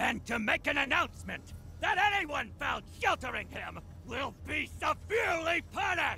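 A cartoonish character voice shouts with vocal fry, big pitch swings and a bright, sharp tone at a moderate pace over faint background noise. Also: man, extremely high pitch for a man.

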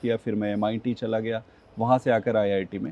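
At a moderate pace, a man talks in a dry sound with no echo. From India, Chhattisgarh (village near Bilaspur); Chhattisgarh, India. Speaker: politician; interview guest, politician. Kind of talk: interview; interview answer. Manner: hesitant, frequent filler sounds. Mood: calm, reflective. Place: garden.

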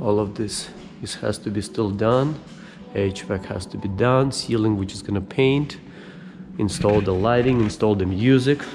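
A man speaks at a moderate pace with a fairly low pitch and ordinary pitch variation. Clear music plays in the background. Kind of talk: casual vlog tour. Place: hall. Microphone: phone near.

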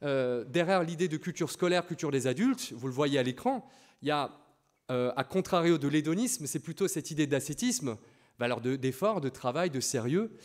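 With lively intonation, a man of fairly high pitch talks at a moderate pace over a quiet background. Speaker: PE teacher and lecturer; PE teacher, lecturer. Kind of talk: lecture. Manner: loud; halting, with repetitions and fillers. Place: classroom.

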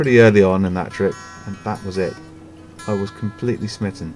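A man's fairly quick speech with ordinary pitch variation, music playing behind him. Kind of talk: narrated vlog story.

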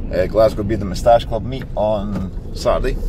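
A man's voice, dry sound with no echo, noticeable background noise. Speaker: small business owner vlogger. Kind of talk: casual vlog chat. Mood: relaxed and cheerful. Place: car. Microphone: phone near.

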